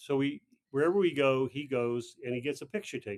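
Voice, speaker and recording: A man's medium-pitched voice in a dry, close recording with no echo. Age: 60s. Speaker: retreat participant, author. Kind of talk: casual chat. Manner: halting.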